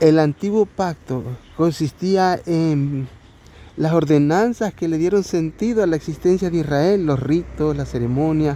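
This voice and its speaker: At a fairly slow pace, a man with a fairly high pitch speaks with ordinary pitch variation. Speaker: lay preacher. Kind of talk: bible study. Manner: halting.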